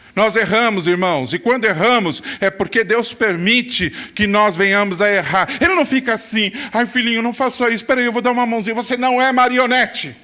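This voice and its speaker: A man with a high pitch uses a raised, projected voice at a moderate pace with hardly any pauses, very even loudness and ordinary pitch variation, over noticeable background noise. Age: 60s. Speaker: pastor. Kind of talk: sermon. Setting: church.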